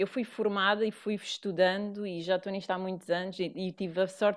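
With a European Portuguese accent, a woman speaks at a fairly quick pace and medium pitch with fairly even intonation. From Portugal. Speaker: yoga teacher. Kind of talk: casual chat.

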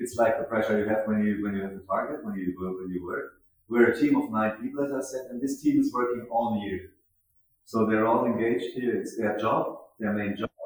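A man with a German accent, medium pitch, fairly even intonation and a fairly quick pace. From Germany, Mannheim. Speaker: festival founder and director. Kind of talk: interview. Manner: halting, repeats words.

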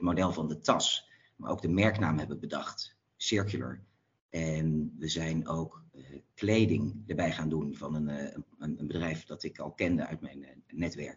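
The voice carries vocal fry, with ordinary pitch variation. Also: man. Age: 40s. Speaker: entrepreneur, company co-founder. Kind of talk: interview. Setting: phone call. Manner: hesitant, many fillers and repeats.

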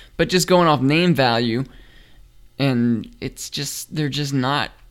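Speaking very slowly, a man with a fairly high voice is heard on a very clean recording over a silent background. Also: long, frequent pauses. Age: 30s. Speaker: sports podcast co-host. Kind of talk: casual chat.

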